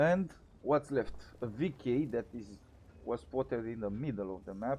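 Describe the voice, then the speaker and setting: A man of medium pitch with a dark, mellow tone and a non-native accent, at a moderate pace. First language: not English. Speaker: gaming commentator. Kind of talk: gameplay commentary. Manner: halting, with repetitions.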